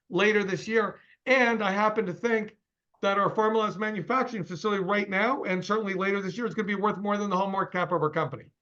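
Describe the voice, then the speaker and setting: A man speaks very fast in a raised, projected voice at a high pitch. His tone is bright and sharp, his intonation fairly even. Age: 60s. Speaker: company CEO. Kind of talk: interview.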